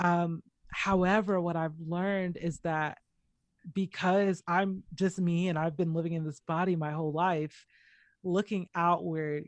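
A woman with an American accent has a normal speaking voice, fairly low in pitch with fairly even intonation, over a quiet background. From US South, Atlanta, Georgia. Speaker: poet and visual artist. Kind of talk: casual interview.

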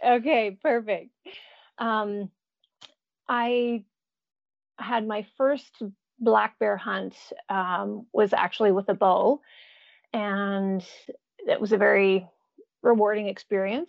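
A woman with an American accent talks at a very slow pace, with long, frequent pauses. Her medium pitch shows ordinary variation. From Jasper, Alberta, Canada. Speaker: bear hunter and gardener. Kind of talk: casual interview chat. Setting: remote call from Alaska.

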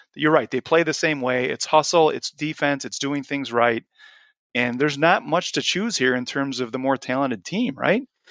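An unremarkable speaking voice at a moderate pace with ordinary pitch variation, dry and close with no echo against a quiet background. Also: man, fairly high pitch for a man. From Chicago. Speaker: podcast host and sports editor. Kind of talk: casual chat.

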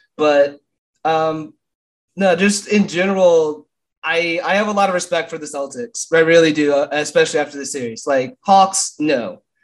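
With big swings in loudness, a man talks at a moderate pace in a normal speaking voice, fairly high in pitch, with ordinary pitch variation. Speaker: basketball podcaster. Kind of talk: casual chat.

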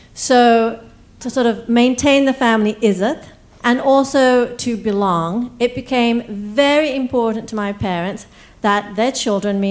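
On a very clean recording with a silent background, a woman with an unremarkable speaking voice speaks fairly slowly at a fairly high pitch, with ordinary pitch variation. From East Africa, raised in England then US. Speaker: storyteller. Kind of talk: live storytelling. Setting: stage with audience.

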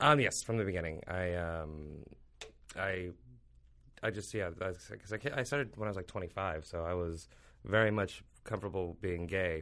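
A man with a General American accent, very deep and low in pitch with a bright, sharp tone, over a quiet background. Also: ordinary pitch variation, moderate pace. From Ethiopia. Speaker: comedian. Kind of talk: casual interview chat.

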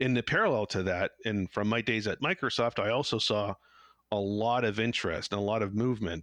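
This man has a plain, everyday voice with a fairly low pitch, recorded in dry, close sound with no echo. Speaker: founder of a 5G innovation lab. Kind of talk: casual interview. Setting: home office.

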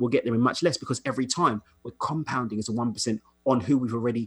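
Talking at a very fast pace, a man uses a medium pitch with ordinary pitch variation and a somewhat breathy quality. The sound is dry and close, with no echo. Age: 30s. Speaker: coach. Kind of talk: casual chat.

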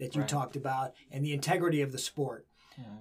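Fairly high pitch from a man, somewhat breathy throughout. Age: 60s. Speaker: wrestling coach and podcast host. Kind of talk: interview. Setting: studio.

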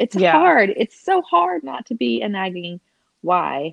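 A woman's fairly low voice in a Southern US accent. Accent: southern twang. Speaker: podcast co-host.

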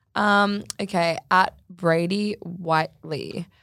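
An Australian accent with fairly even intonation, in a very clean recording over a silent background. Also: woman. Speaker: podcast co-host, social media influencer. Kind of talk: casual chat.

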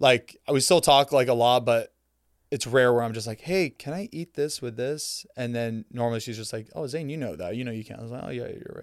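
A man with a plain, everyday voice speaks at medium pitch and a fairly quick pace, with ordinary pitch variation and big swings in loudness, in a very clean recording with a silent background and a dry, close sound with no echo. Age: 30s. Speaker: content creator and podcast host. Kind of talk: casual chat.

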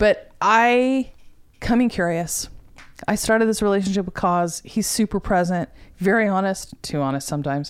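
A woman with a plain, everyday voice speaks at a moderate pace and medium pitch, her intonation lively, on a very clean recording with a silent background. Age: 50s. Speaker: guest discussing menopause. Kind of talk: casual chat.

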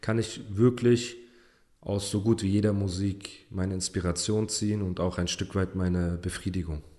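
Speaking at a moderate pace, a man with an unremarkable speaking voice uses a fairly low pitch and fairly even intonation. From Heidelberg area, Germany. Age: 30s. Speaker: rapper. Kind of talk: casual chat. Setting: studio.

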